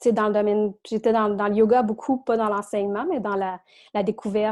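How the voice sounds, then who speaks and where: This woman's delivery is a flat monotone. The recording is very clean, with a silent background. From Quebec. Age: 30s. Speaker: self-employed podcast guest. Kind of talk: casual interview.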